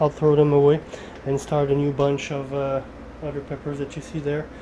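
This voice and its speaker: The speech comes at a fairly slow pace. Noticeable background noise is present. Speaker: home pepper grower. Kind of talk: tutorial. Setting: indoors at home, living room. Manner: halting, filler-heavy.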